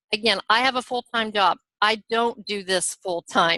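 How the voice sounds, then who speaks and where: A woman speaks with a bright, sharp tone and fairly even intonation. The sound is dry and close, with no echo. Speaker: network marketing team leader. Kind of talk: team training talk. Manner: fast.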